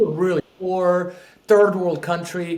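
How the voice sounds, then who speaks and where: Noticeable background noise accompanies a man with a high voice and a Spanish accent speaking at a moderate pace. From Peru. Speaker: real estate investor. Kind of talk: podcast interview.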